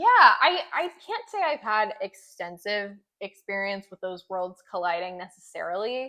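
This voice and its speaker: In an American accent, the speaker moves at a fairly slow pace with big swings in loudness. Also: woman. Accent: Southern accent, comes out when around home. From US South, Tennessee (Franklin). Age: 20s. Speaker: local political youth group president. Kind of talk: interview. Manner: halting, many fillers.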